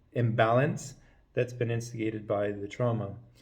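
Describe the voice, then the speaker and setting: A man speaks at a medium pitch with a somewhat breathy voice and fairly even intonation, and the room echo is audible. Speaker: chiropractor teaching a technique. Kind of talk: lecture. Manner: fast.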